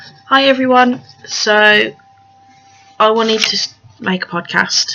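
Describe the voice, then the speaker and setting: A woman with a fairly high pitch speaks at a very slow pace, with long, frequent pauses. Noticeable background noise runs behind her. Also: ordinary pitch variation. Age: 20s. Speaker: craft podcaster. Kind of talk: casual monologue. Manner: hesitant, many fillers.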